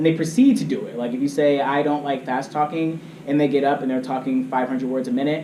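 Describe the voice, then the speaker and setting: A man talks at a very fast pace with lively intonation. Audible room echo and light background noise surround him. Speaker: debate coach. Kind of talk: training lecture. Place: meeting room. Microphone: camera far.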